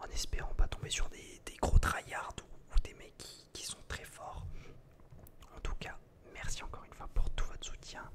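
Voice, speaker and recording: A man whispers with long, frequent pauses and big swings in loudness over noticeable background noise. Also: fairly slow pace. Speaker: ASMR gaming creator. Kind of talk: ASMR gaming commentary, whispered. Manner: whispered.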